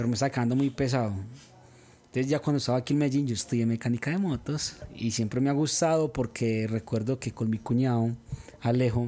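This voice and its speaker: A man talks at a fairly quick pace in an unremarkable speaking voice. His pitch is medium and his intonation fairly even. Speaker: avocado farmer. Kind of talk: casual chat.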